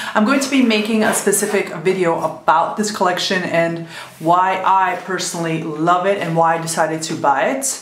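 Noticeable background noise sits behind a woman speaking at a medium pitch. She moves at a fairly quick pace with ordinary pitch variation. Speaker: beauty vlogger. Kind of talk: makeup tutorial talk to camera.

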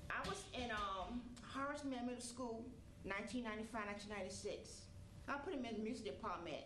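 A woman speaks at a fairly slow pace and fairly high pitch, with ordinary pitch variation and long, frequent pauses. Audible room echo and light background noise sit behind her voice. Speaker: mother of fallen marine. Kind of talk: stage testimony. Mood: emotional, wipes her eyes. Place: stage.

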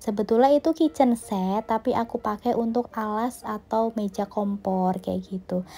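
A woman's fairly high, somewhat breathy voice with a dark, mellow tone, ordinary pitch variation, a moderate pace and hardly any pauses, on a very clean recording with a silent background. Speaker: home cooking vlogger. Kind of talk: casual vlog cooking narration. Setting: home kitchen. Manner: chatty, friendly.

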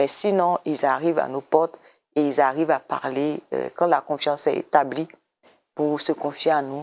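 Her pitch very deep and low, a woman speaks with monotone, flat intonation. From Côte d'Ivoire. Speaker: government program director; interview guest. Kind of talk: TV interview. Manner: hesitant, repeats words. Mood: calm, explanatory. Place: studio. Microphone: lapel.

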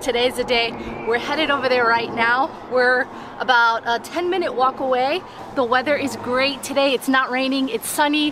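A high-pitched woman's voice at a moderate pace, with very even loudness and noticeable background noise. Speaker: travel vlogger. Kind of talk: casual vlog chat. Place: street.

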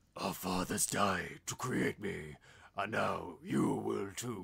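A man puts on a character voice, raspy and very deep in pitch. He speaks at a very slow pace. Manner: menacing.

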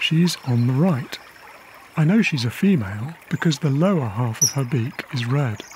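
Over noticeable background noise, a man with a fairly high pitch talks at a moderate pace in a calm tone with lively intonation. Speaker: wildlife cameraman and narrator. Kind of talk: nature documentary narration, diary style. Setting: voiceover recorded narration. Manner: calm, reflective, measured; intimate, hushed, personal.

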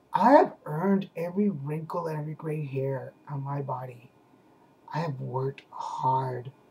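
A man with an unremarkable speaking voice talks at a fairly slow pace and a fairly high pitch. His pitch variation is ordinary, while his loudness swings widely. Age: 40s. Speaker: video blogger. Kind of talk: casual vlog chat. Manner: relaxed, conversational. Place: home room. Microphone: webcam.

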